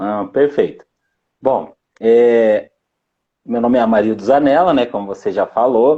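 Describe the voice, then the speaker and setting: A man's dark, mellow voice at medium pitch, fairly slow and marked by long, frequent pauses, with ordinary pitch variation. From Paraná, southern Brazil. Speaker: sales team manager and sales trainer. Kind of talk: live-stream interview.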